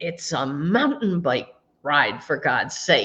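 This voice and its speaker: In a put-on character voice, a woman booms at a very slow pace, her voice raspy and fairly low in pitch. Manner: amused, teasing.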